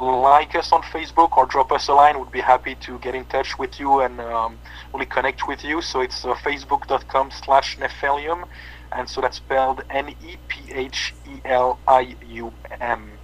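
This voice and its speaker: Against noticeable background noise, a man talks with big swings in loudness. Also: moderate pace. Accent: French. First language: French. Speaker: metal band bass player. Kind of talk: interview. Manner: halting, many fillers.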